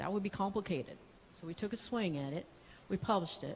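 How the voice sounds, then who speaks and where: Her medium-pitched voice somewhat breathy, a woman talks at a fairly quick pace with ordinary pitch variation. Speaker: psychiatrist. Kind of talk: conference talk. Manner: animated.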